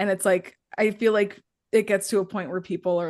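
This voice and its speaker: An unremarkable speaking voice from a woman at a medium pitch, fairly slow in pace, with ordinary pitch variation against a quiet background. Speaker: podcast co-host. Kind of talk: casual chat.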